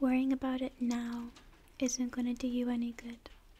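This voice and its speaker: A soft-spoken woman talks at a fairly slow pace. Her voice is high-pitched, with a dark, mellow tone. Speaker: video creator. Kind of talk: soft-spoken advice talk, ASMR-style. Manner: soft-spoken, close to the mic. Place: home room. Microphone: studio mic.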